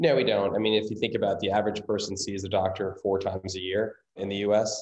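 A man's fairly low voice at a fairly quick pace. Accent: American. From Indiana, US Midwest. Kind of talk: interview.

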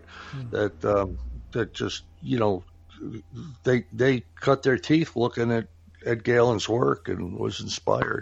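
A man at medium pitch with vocal fry and ordinary pitch variation, very slow, with long, frequent pauses. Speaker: podcast host. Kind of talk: casual chat.

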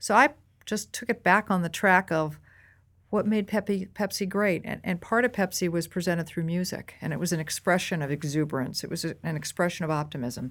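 Using a normal speaking voice with an American accent, a woman with a fairly low pitch speaks at a fairly quick pace with lively intonation on a very clean recording with a silent background. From US Northeast, near Boston. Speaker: marketing executive. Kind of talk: interview.

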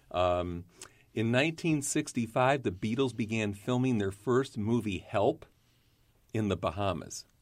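In a very clean recording with a silent background, a man talks at a fairly slow pace in a normal speaking voice, his medium pitch showing ordinary variation and his loudness very even. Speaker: podcast host and vodka brand representative. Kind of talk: podcast interview. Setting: studio.

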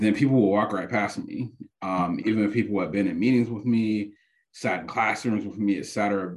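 A plain, everyday voice with an American accent, fairly even intonation and a moderate pace. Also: man, fairly low pitch for a man. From Detroit, Michigan (west side). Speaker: public health professor. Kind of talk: casual interview.

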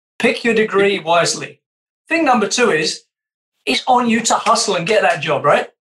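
In a British accent, a man talks at a moderate pace with a high pitch, a bright, sharp tone, and lively intonation. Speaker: podcast co-host. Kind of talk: casual interview conversation.

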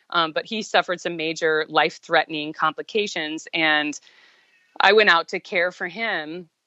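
The speaker uses an unremarkable speaking voice at a moderate pace. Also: woman, fairly low pitch for a woman, fairly even intonation. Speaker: guest sharing health recovery story. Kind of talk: interview testimony.

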